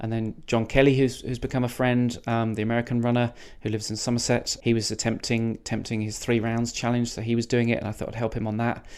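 In a southern English accent, a man with a medium pitch speaks at a very fast pace in a monotone, flat intonation, recorded very cleanly with a silent background. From England, the Cotswolds. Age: 40s. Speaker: ultra runner. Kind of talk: casual interview. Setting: hotel room. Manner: halting, many repeated words.

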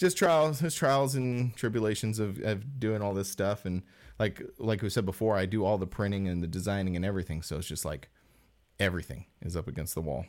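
This man has a plain, everyday voice, fairly low in pitch, with lively intonation and a fairly quick pace. The recording is very clean, with a silent background. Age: 40s. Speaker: podcast co-host, screen printer. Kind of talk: casual chat.

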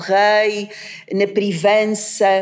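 Noticeable noise fills the background. Through it, a woman talks. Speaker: literature professor. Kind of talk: academic discussion. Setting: university seminar room. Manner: hesitant, many fillers.

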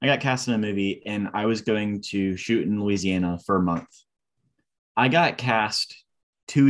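A man speaks in a normal speaking voice, pitched fairly low. His pitch varies in an ordinary way, and his pace is moderate. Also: quiet background. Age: 20s. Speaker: actor and podcast co-host. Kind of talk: casual chat.

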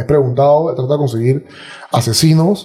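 Using a normal speaking voice, a man talks at a fairly quick pace with a fairly high pitch and lively intonation. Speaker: podcaster and martial arts fighter. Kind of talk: casual interview conversation.

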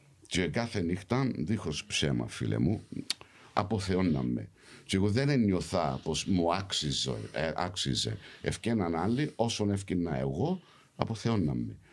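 Fairly slow and very even in loudness, the voice carries vocal fry and very wide pitch swings. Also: man, very deep, low pitch for a man. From London, England, of Cypriot family. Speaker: actor. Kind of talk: casual chat. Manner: animated.

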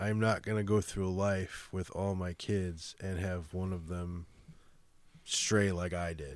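A man with a Chicago accent speaks at a very slow pace in a very deep, low pitch with monotone, flat intonation. The recording is very clean, its background silent. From Chicago, US Midwest. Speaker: guest, musician and father. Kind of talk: casual interview chat.

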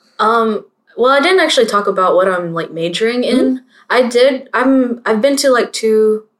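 Speaking at a moderate pace, a woman has an ordinary speaking voice at a fairly high pitch. Her intonation is lively. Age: 20s. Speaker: podcast co-host, college student. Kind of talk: casual chat.

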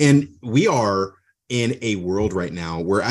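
A man's ordinary speaking voice, fairly low-pitched, with lively intonation over a quiet background. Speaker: podcast host. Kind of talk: casual interview.

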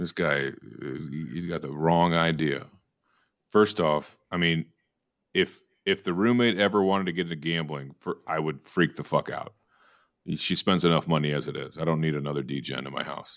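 In a very clean recording with a silent background, a man with an American accent speaks at a very deep, low pitch with vocal fry. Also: ordinary pitch variation, moderate pace. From Texas. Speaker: podcast host. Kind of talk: casual chat. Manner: animated.

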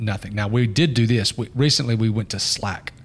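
Some breathiness colors this voice. It belongs to a man. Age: 40s. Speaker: podcast host, business owner. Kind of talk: casual chat.

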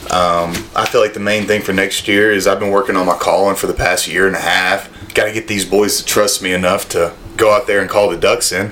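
A man with a Southern US accent at a fairly quick pace, amid noticeable background noise. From North Alabama. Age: 20s. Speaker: podcast guest, former college football player. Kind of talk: casual chat.

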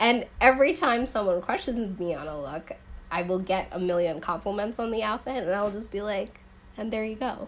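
A woman with a plain, everyday voice speaks at medium pitch and a moderate pace, with lively intonation. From US Midwest, rural suburbs of Chicago. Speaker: fashion entrepreneur and former stylist. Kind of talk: casual interview. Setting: evening podcast recording.

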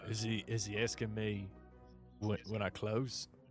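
A man in a gruff, put-on character voice with a British accent speaks at a very slow pace, his fairly low pitch held fairly even, over clear background music.

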